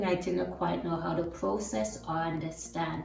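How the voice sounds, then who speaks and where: With a non-native accent, the speaker uses lively intonation at a moderate pace, amid audible room echo and noticeable background noise. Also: woman. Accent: foreign. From tropical country. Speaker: immigrant sharing experiences. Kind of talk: testimony.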